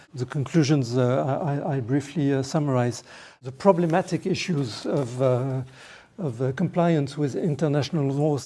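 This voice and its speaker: Moderate pace in a French accent. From France. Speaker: lawyer. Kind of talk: panel talk. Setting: parliament meeting room. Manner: halting.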